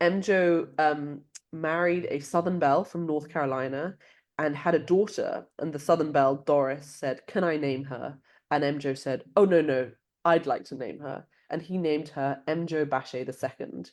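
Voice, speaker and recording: Over a quiet background, the speaker talks at a moderate pace with a London accent and fairly even intonation. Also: woman, very deep, low pitch for a woman. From London, England. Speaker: author. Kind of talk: interview.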